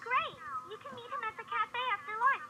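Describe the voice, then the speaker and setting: A woman uses a squeaky, put-on character voice at an extremely high pitch, with big swings in loudness. Her pace is moderate, over light background noise. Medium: video game. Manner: friendly, upbeat.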